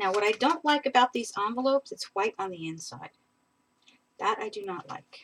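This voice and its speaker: Lively intonation in a woman's fairly high-pitched voice, a normal speaking voice. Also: big swings in loudness, dry, close sound with no echo. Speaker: papercraft tutorial creator. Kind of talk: live crafting tutorial. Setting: live stream.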